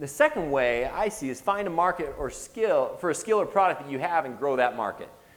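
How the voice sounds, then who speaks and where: Over noticeable background noise, a man with a fairly high pitch talks at a very fast pace in an animated tone. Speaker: entrepreneur giving a guest lecture. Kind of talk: lecture.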